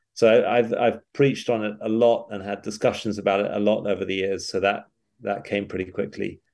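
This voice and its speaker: Against a quiet background, a man speaks at a fairly quick pace. His voice is fairly low, with fairly even intonation. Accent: British. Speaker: pastor and author. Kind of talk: interview.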